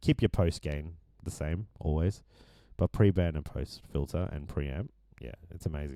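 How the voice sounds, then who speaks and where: A man speaks at a fairly quick pace. The sound is dry and close, without echo. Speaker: musician and producer. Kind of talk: tutorial. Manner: casual, hesitant with fillers.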